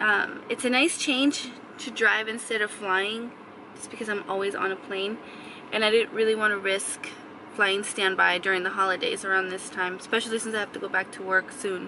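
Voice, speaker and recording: Heard over noticeable background noise, a woman speaks at a moderate pace with fairly even intonation, and the sound is dry with no echo. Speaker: vlogger. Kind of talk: casual vlog chat. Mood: calm, sleepy morning. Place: car. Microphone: phone near.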